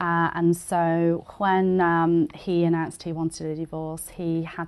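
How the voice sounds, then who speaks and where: A woman's fairly low voice with a British accent, at a moderate pace. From England. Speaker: immigrant small business owner. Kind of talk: interview. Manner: halting, many fillers.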